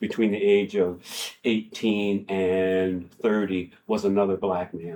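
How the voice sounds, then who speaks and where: Here a man with an American accent has a fairly low pitch and a dark, mellow tone. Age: 70s. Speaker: public speaker. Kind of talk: talk with Q&A. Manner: halting.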